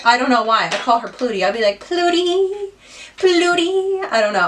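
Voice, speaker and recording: A woman with a Midwestern US accent, animated in tone, her pitch swinging very widely at a moderate pace over noticeable background noise. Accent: US Midwest. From Ohio, US. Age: 20s. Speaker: beauty youtuber. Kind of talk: casual chat while doing makeup. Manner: chatty, animated.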